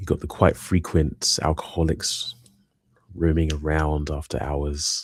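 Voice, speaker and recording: With a British accent, a man speaks at a very deep, low pitch. His intonation is monotone and flat. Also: fairly slow pace. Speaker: live streamer, hobbyist building minifigures. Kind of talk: casual live stream chat. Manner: soft-spoken in person, louder on streams.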